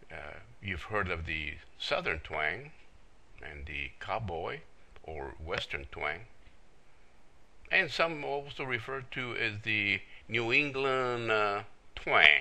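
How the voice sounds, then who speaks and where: Fairly low and bright, sharp in tone, a man's voice with vocal fry swings very widely in pitch at a very slow pace. He leaves long, frequent pauses, and the room echo is audible. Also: big swings in loudness. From El Paso area, US-Mexico border (Texas/New Mexico). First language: Spanish. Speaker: internet marketer. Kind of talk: self-introduction video. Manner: many filler words.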